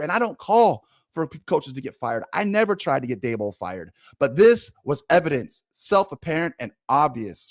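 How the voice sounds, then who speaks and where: A man speaks in an animated tone at a moderate pace, with very wide pitch swings. The sound is dry and close, with no echo. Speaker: sports commentator. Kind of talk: casual commentary.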